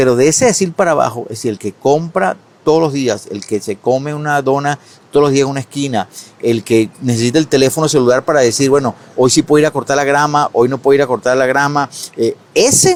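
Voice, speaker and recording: This man talks at a fairly quick pace, his fairly high pitch showing ordinary variation. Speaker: economist, advisor. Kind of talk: interview. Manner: fast.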